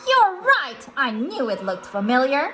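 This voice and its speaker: In a put-on character voice, a female-sounding speaker talks at a high pitch and a moderate pace, swinging very widely in pitch. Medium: read story. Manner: excitable, high-energy.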